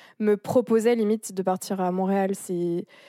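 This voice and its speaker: A woman's medium-pitched voice, dark and mellow in tone, with fairly even intonation at a moderate pace. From France, rural area near the Swiss border. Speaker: exchange student. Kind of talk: casual chat.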